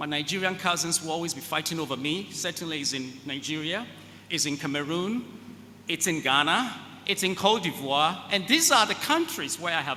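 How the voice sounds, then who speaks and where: A man with an African accent talks at a fairly quick pace. His fairly high voice has a bright, sharp tone and ordinary pitch variation. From West Africa. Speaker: keynote speaker, space agency executive. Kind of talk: keynote speech.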